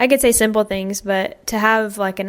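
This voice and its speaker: A woman speaks at a moderate pace with a Southern US accent. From US South. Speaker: American expat. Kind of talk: podcast interview.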